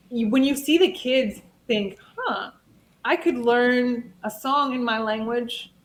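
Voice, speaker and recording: Noticeable background noise runs under the clip. A woman talks very slowly at a high pitch. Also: ordinary pitch variation. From Nigerian heritage. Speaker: children's entertainer and multilingual singer. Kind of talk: interview.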